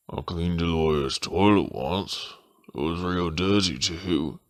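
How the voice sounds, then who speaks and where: A man speaks at a fairly slow pace with a very deep, low pitch. He is using a put-on character voice. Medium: comedy sketch.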